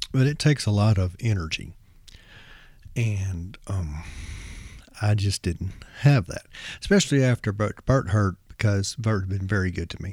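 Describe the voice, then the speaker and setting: Over a silent background in a very clean recording, a man talks at a moderate pace in a fairly low, somewhat breathy voice with ordinary pitch variation and long, frequent pauses. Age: 50s. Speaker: rock music podcast host. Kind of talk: solo podcast monologue. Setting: home recording, no music. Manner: halting, many fillers.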